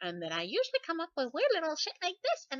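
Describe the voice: A put-on character voice squeaks at an extremely high pitch. The pace is very fast.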